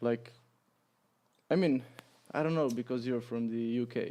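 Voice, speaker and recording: A man with a Croatian accent speaks at medium pitch in a dark, mellow tone with fairly even intonation. His pace is fairly quick, broken by long, frequent pauses. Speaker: podcast guest, expat teacher. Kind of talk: casual chat. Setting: bar recording with several people. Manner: halting, many fillers.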